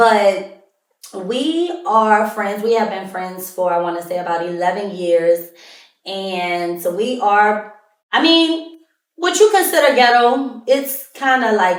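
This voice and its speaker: With audible room echo, a woman talks loudly at a very slow pace, her fairly high pitch making very wide swings. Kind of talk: casual monologue.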